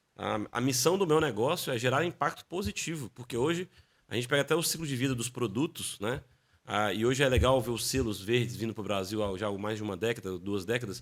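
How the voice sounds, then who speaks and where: Fairly quick and lively in intonation, a man speaks at a medium pitch in a very clean recording with a silent background. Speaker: business executive in construction waste recycling. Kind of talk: podcast interview. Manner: fast.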